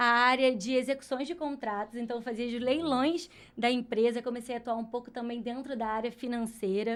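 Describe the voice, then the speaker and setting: A woman speaks at a high pitch with fairly even intonation. The recording is very clean, with a silent background. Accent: Rio de Janeiro. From Rio de Janeiro, Brazil. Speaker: HR specialist. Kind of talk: podcast interview.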